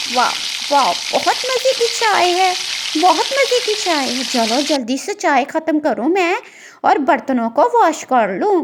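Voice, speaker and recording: Putting on a cartoonish character voice, a woman speaks at an extremely high pitch. Her pitch swings very widely at a moderate pace. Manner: warm, homely.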